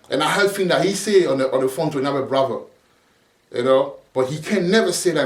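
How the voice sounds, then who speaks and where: A man at a fairly high pitch and a very fast pace, ordinary pitch variation, in audible room echo. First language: not English. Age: 40s. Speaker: preacher. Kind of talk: sermon. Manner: halting, repeats words; casual street slang.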